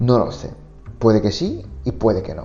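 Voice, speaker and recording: Music sounds in the background as a man talks at a moderate pace. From Japan. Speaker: Japanese teacher. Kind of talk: podcast monologue. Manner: casual, conversational.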